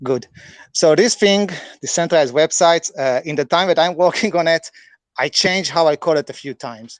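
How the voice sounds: A man talks with a non-native accent and ordinary pitch variation. The sound is dry and close, with no echo. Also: fairly high pitch for a man, moderate pace.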